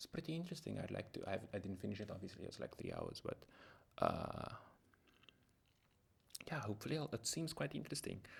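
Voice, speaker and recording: Soft-spoken and medium in pitch, a man uses vocal fry and very wide pitch swings, with long, frequent pauses. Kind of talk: soft-spoken ASMR book haul ramble to camera. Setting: close microphone at home. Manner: soft-spoken, rambling, friendly.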